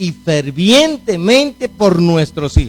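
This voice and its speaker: With music playing in the background, a man speaks at a very slow pace. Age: 60s. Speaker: pastor. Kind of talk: sermon.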